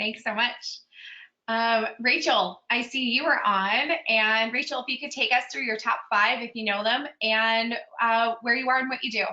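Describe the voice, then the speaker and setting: In a Pittsburgh accent, a woman talks at a fairly high pitch and a moderate pace with fairly even intonation. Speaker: strengths coach, webinar host. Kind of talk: webinar roll call. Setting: video call webinar.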